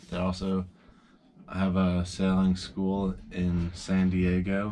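A man's very deep, low voice at a very slow pace over light background noise. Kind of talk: casual vlog chat. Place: boat. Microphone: phone near.

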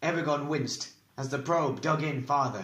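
Dramatic-toned male speech at a moderate pace, with ordinary pitch variation and noticeable background noise. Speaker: audiobook narrator. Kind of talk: dramatic audiobook narration with character voices. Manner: dramatic, tense, shifting voices for each character.

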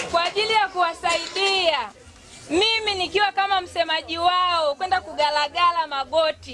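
Over crowd noise in the background, a woman projects her raised voice at an extremely high pitch and a moderate pace. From Tanzania, Momba area; Tanzania. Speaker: parliamentary candidate; candidate. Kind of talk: campaign speech. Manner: animated. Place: open country.

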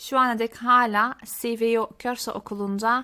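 In a very clean recording with a silent background, a woman speaks with a fairly high pitch, a bright, sharp tone and fairly even intonation. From Belgium (Genk, Limburg), Turkish family. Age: 30s. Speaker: Dutch language teacher, YouTuber. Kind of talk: casual self-introduction to viewers.

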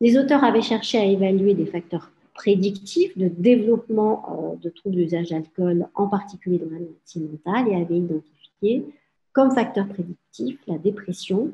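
A woman talks in a somewhat breathy voice with a dark, mellow tone. Her pitch varies in an ordinary way. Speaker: psychiatrist and addiction specialist professor; presenter. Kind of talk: lecture. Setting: video call. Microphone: webcam.

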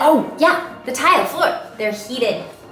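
A woman speaks with a high pitch. Faint music plays behind her, and the room gives an audible echo. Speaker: travel vlogger. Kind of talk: casual vlog chat. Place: home room. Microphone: phone near.

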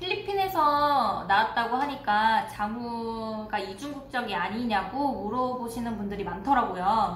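With light background noise and audible room echo, a woman speaks fairly slowly in a fairly high voice with lively intonation. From South Korea. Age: 20s. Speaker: family vlogger. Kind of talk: casual talk to camera. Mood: calm, reflective storytelling. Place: home room.

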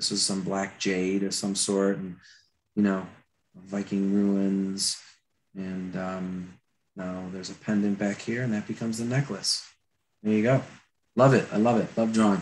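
A man with an American accent speaks at a fairly slow pace with fairly even intonation and long, frequent pauses, over light background noise. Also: fairly low pitch for a man. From Florida. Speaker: concept artist and attraction designer. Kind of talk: live drawing tutorial; lecture. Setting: video call.

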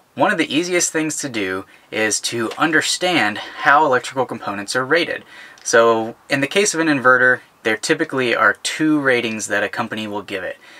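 In a bright, sharp tone, a man speaks at a moderate pace. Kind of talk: tutorial. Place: home room.

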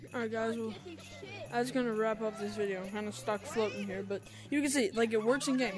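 A woman talks at a very fast clip with ordinary pitch variation. Noticeable background noise sits behind her. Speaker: gamer. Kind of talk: casual gaming tutorial commentary. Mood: startled, playful.

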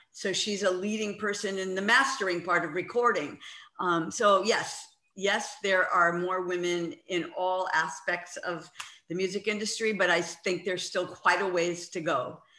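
A woman speaks at a moderate pace, with audible echo from the room. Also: fairly even intonation. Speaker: rock musician. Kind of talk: interview. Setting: video call. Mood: warm, reminiscing. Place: home room. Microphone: video call.

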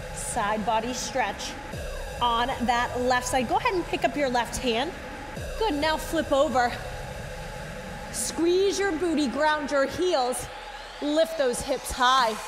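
Music plays in the background as a woman speaks at a very slow pace. Her high-pitched voice leaves long, frequent pauses. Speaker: fitness instructor. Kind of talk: workout class cueing. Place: studio.

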